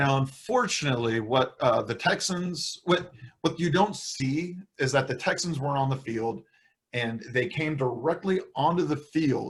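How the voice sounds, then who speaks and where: A somewhat breathy man's voice at a moderate pace, with ordinary pitch variation. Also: fairly high pitch for a man. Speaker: fantasy football podcast host. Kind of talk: casual chat.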